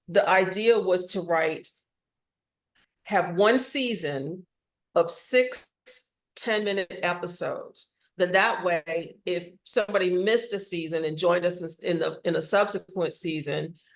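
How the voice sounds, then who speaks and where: In an American accent, a woman with a normal speaking voice talks at a fairly slow pace, her medium pitch showing ordinary variation. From Washington DC, US. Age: 60s. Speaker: audio drama writer and actor. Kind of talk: interview.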